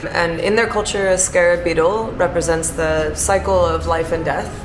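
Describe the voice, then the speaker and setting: A woman with an American accent speaks with fairly even intonation. Music plays in the background, and room echo is audible. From Chicago, US Midwest. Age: 30s. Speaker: bar manager. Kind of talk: interview.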